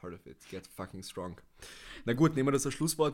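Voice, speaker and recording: A man's voice comes through on a very clean recording, the background entirely silent. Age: 20s. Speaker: natural bodybuilder and former powerlifter. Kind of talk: casual podcast conversation. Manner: hesitant, many filler sounds.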